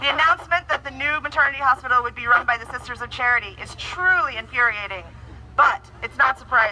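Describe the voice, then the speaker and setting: A woman at a very fast pace amid noticeable background noise. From Ireland. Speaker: activist. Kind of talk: impassioned protest speech delivered as a prepared statement. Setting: outdoor street protest. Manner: indignant and forceful, building rhetorical repetition. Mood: indignant, earnest. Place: street.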